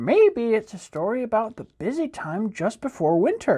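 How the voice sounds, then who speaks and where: The voice is put on, in character. It sits fairly high in pitch. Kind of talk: bedtime story. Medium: read story.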